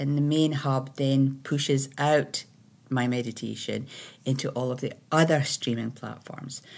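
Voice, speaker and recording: A woman with a Scottish accent speaks in a very deep, low voice. Her pace is fairly slow and her intonation monotone and flat. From Scotland. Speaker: spiritual teacher and meditation creator; meditation teacher. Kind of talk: casual monologue. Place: home room. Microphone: webcam.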